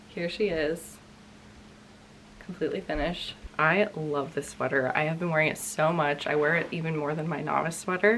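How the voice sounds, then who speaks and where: Against noticeable background noise, a woman speaks at a moderate pace in a very deep, low pitch. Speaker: knitting podcaster. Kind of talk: casual chat. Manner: casual with fillers.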